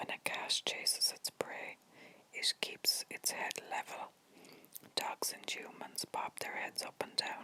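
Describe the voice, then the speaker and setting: Someone is speaking in a whisper. The words come very slowly. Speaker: ASMR content creator. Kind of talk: ASMR whispered facts video to help viewers sleep. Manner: whispered, soft, relaxing.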